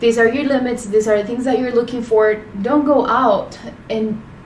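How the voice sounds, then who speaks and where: A woman with a Spanish accent and fairly high pitch speaks in monotone, flat intonation, with audible room echo and noticeable background noise. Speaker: podcast co-host. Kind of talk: casual chat.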